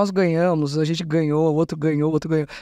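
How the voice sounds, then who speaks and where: A woman talks at a fairly quick pace in a dark, mellow tone. The sound is dry with no echo, and the background is quiet. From São Paulo, Zona Norte; São Paulo. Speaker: state culture secretary; interview guest. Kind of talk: interview. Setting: studio. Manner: talkative. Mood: relaxed, conversational. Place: studio. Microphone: studio mic.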